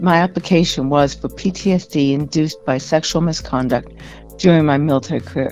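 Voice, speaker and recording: A woman with a Canadian accent talks at a moderate pace with lively intonation and a very deep, low pitch. Music plays in the background. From Canada. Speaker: military veteran and author. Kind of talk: radio interview. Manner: halting.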